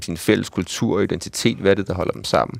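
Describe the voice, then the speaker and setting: A man at a fairly low pitch, talking at a very fast pace. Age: 40s. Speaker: ethnologist and university lecturer. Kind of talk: radio discussion. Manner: halting.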